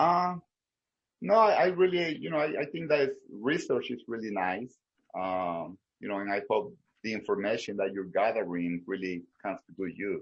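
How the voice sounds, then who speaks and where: A man speaks at a moderate pace in a Salvadoran accent. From El Salvador. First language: Spanish. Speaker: small business owner. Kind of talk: research interview. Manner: halting, many fillers and repetitions.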